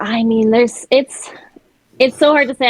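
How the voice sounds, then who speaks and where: The woman's delivery moves along at a moderate pace. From Montreal, Quebec. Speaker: singer and actor. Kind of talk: casual chat. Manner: animated, hand talker.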